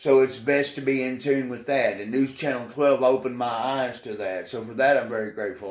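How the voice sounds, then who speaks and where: Against noticeable background noise, a man with a Tennessee accent speaks at a medium pitch with fairly even intonation. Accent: Southern US (Tennessee). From Tennessee (Portland, rural Middle Tennessee). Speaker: news anchor. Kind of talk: interview.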